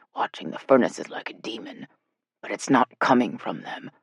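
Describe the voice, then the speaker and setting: A man whispers in a raspy, put-on character voice. His pace is moderate. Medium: read story. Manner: rough whisper.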